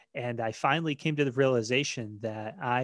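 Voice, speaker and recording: An American-accented man talks at a fairly slow pace and a medium pitch. The sound is dry and close with no echo, on a very clean recording with a silent background. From Maine, US. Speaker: podcast host, lean consultant. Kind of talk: solo podcast monologue. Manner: hesitant, many fillers.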